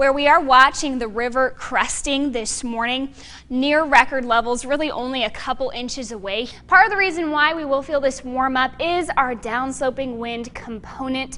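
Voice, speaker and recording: A woman raises and projects her high voice with ordinary pitch variation over noticeable background noise. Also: moderate pace. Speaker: TV meteorologist. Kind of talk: TV weather forecast.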